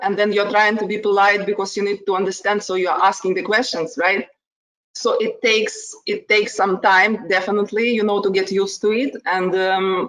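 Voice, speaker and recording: Using a strong Ukrainian accent, a woman of medium pitch speaks at a moderate pace. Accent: heavy Ukrainian. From Ukraine. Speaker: HR manager. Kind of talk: casual chat.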